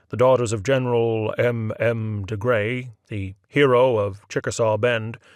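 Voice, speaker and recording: Recorded very cleanly against a silent background, a man speaks at medium pitch with a dry, close sound and no echo. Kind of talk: short story reading.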